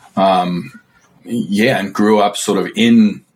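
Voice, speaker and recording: A man with an Australian accent speaks at a fairly low pitch with fairly even intonation. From remote Australia. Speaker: author. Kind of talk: casual chat.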